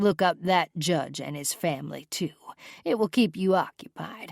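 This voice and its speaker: In a raspy, middle-pitched put-on character voice at a moderate pace, the speaker comes through on a very clean recording with a silent background. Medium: read story. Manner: low, controlled, commanding.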